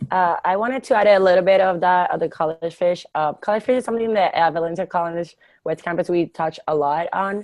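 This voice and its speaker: With a Spanish accent, a woman speaks at a fairly quick pace with hardly any pauses, her medium pitch showing ordinary variation. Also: quiet background. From Puerto Rico. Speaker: student member. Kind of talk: webinar panel testimony.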